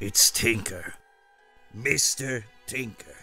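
A man's put-on character voice at a medium pitch, with faint music in the background. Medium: dub.

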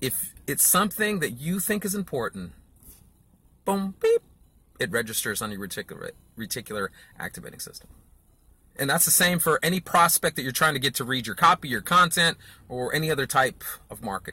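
A man's bright, sharp, fairly quick voice with vocal fry, big swings in loudness and a dry sound with no echo. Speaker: marketing coach. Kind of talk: casual vlog lecture. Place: car. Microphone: phone near.

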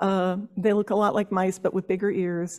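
A woman with an American accent is heard against a quiet background. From New Jersey. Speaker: horticulturist and master gardener; presenter. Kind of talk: workshop presentation. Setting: stage with audience.

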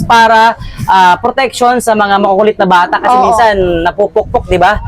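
Someone talks at a fairly quick pace with music playing in the background. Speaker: vlogger and street-market promoter. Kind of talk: sales pitch. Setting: in a shop or market stall. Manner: animated, upbeat, fast-paced pitchman patter; addresses viewers directly, enthusiastic.

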